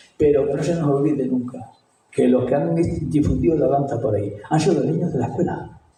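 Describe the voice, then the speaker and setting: A man at a fairly quick pace with lively intonation, amid audible room echo. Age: 70s. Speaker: retired school headmaster. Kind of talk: talk. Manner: animated.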